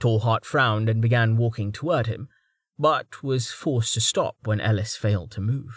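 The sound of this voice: The voice reads in an unforced way with fairly even intonation. The background is quiet.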